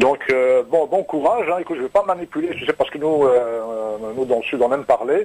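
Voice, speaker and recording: Noticeable background noise runs behind a man speaking at a fairly quick pace. His pitch is fairly high, and his intonation is lively. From Normandy. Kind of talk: casual chat. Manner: halting, many repetitions.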